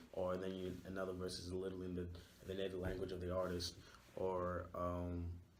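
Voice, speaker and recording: At a fairly quick pace, a man speaks in a monotone, flat way at a very deep, low pitch, with audible room echo. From Nigeria, Lagos. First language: Yoruba. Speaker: university student. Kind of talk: interview. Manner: hesitant, many fillers.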